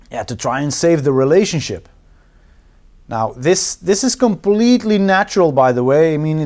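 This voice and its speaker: A man with a Dutch accent speaks at a fairly high pitch with very wide pitch swings. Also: moderate pace. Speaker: relationship coach and therapist, video host. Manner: casual, conversational.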